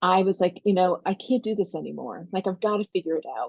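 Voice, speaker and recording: At a moderate pace, a woman speaks with vocal fry at a medium pitch. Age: 60s. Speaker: life coach and podcast host. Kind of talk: solo podcast monologue. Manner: conversational.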